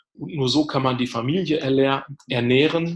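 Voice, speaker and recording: A man's somewhat breathy voice with fairly even intonation. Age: 40s. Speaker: addiction therapist and coach. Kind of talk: casual interview.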